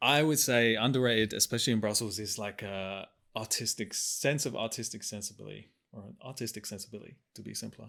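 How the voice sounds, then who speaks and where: Over a very clean recording with a silent background, a man talks at a very fast pace in a bright, sharp tone with vocal fry and fairly even intonation. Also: medium pitch for a man, big swings in loudness. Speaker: policy communications podcast host. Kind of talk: casual chat.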